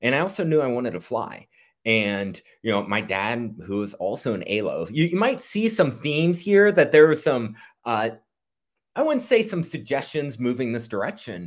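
Very wide swings in pitch from a man, recorded very cleanly against a silent background. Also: medium pitch for a man, moderate pace. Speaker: former military pilot, hospital quality professional. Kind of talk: interview.

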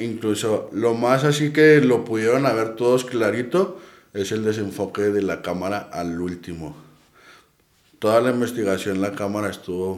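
Audible room echo surrounds a man speaking in a Mexican accent at a fairly slow pace. His pitch is medium, with ordinary variation. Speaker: paranormal investigator. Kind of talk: casual chat.

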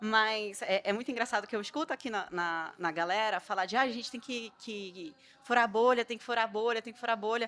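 Hardly pausing, a woman talks at a fairly quick pace with a fairly high pitch, a bright, sharp tone and big swings in loudness. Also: ordinary pitch variation. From Belém, Pará, northern Brazil. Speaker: startup founder. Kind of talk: panel discussion.

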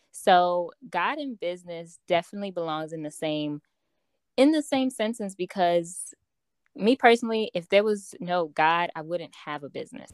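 A woman with an American accent and an unremarkable speaking voice, lively intonation, big swings in loudness, a moderate pace, and a dry, close sound with no echo. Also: fairly low pitch for a woman. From Chicago, Illinois. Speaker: personal development coach and author. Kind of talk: interview conversation.

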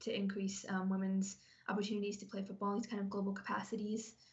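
A woman is speaking. Her medium-pitched voice sounds somewhat breathy. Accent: American. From Ohio, US Midwest. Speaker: sports program manager. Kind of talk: podcast interview.

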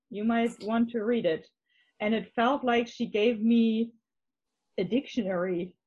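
A woman speaks very slowly in a German accent. Her pitch is fairly high. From northern Germany, Hamburg area. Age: 30s. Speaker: interviewee, married convert. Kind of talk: testimony. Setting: video call.

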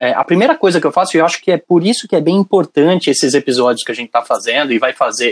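A man speaks at a very fast pace with lively intonation, the sound dry and close with no echo. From São Paulo city, Brazil. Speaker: university professor. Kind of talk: casual chat.

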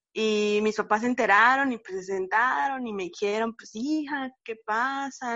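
In a normal speaking voice, a woman talks fairly slowly at a fairly high pitch with ordinary pitch variation. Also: hardly any pauses. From Mérida, Yucatán, Mexico. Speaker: law student, activist. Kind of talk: casual chat.

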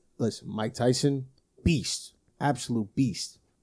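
A dark, mellow tone comes through at a fairly slow pace. The recording is very clean, with a silent background. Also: man. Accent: New Jersey. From New Jersey, Brick Township. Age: 20s. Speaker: podcast co-host. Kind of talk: casual chat.

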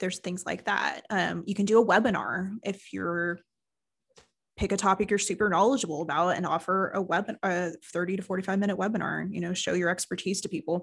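Vocal fry runs through this woman's fairly quick speech, captured in a very clean recording with a silent background. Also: medium pitch for a woman, fairly even intonation. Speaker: marketing agency owner and podcast co-host. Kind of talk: casual business chat. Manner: conversational, laughs often.

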